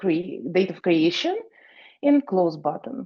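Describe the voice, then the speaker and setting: A woman's fairly low voice at a moderate pace. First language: not English. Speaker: programming student. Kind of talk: project presentation. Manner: halting.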